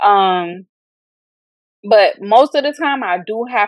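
A woman with an American accent, heard in a dry, close sound with no echo. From Florida, Fort Lauderdale. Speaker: author and high school teacher. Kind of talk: casual interview.

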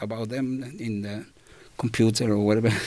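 Speaking at a fairly quick pace, a man with a Spanish accent keeps his intonation fairly even. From Chile. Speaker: community radio presenter. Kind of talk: interview.

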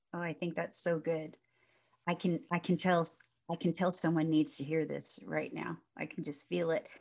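Vocal fry in a female voice, pitch varying in an ordinary way. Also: fairly low pitch for a woman, moderate pace. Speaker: podcast host and minister. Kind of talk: casual interview chat. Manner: loud.

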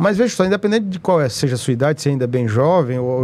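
With lively intonation and a fairly high pitch, a man talks in a normal speaking voice. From Teresina, Piauí, Brazil. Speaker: state politician. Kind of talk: interview.

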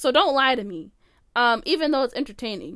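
Her voice is high-pitched with an animated tone. The recording is very clean, with a silent background. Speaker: podcast host. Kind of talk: casual solo chat. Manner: animated, frequent filler words.

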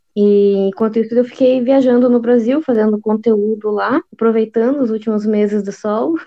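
A woman with a Paraná accent, fairly high-pitched, with fairly even intonation and hardly any pauses. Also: moderate pace. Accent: southern Brazilian (Paraná interior). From interior of Paraná, Brazil. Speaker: travel blogger and YouTuber. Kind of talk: casual interview chat.

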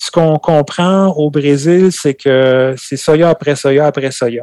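Fairly high in pitch, a man keeps fairly even intonation in a dry, close sound with no echo. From France, Normandy (Calvados). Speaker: farmer. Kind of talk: casual interview.

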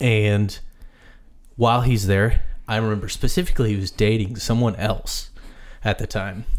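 A man with a normal speaking voice talks at medium pitch and a moderate pace. His pitch varies in an ordinary way, on a very clean recording with a silent background. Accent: American. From US Midwest. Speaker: podcast host. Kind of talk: casual chat.

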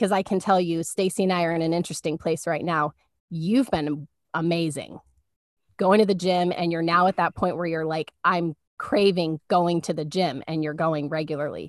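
A woman's plain, everyday voice, fairly low in pitch, at a moderate pace, with a dry, close sound with no echo and a quiet background. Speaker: podcast co-host. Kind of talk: casual faith talk. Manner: warm, conversational.

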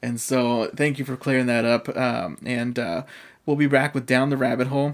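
An unremarkable speaking voice with an American accent at a fairly quick pace. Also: man. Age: 20s. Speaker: podcast host. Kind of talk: casual interview chat. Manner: casual, chatty.

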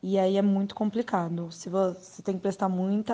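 At a fairly quick pace, a woman speaks in a monotone, flat way with a medium pitch and a dark, mellow tone. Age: 20s. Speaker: HR assistant. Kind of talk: interview.

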